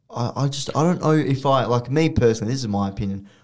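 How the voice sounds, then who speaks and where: With an Australian accent, a man speaks at a moderate pace and a medium pitch. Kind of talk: casual chat.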